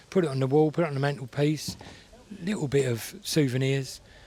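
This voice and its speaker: The pace is fairly quick. There is a somewhat breathy quality to the voice. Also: man. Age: 60s. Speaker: classic car event visitor. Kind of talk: casual interview chat. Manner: fast; animated.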